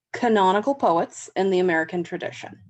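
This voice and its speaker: A woman speaks with a Southern California accent. Her pace is fairly quick. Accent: flat Southern California. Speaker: university English instructor. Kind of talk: lecture on poetry. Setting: home, dog snoring in background.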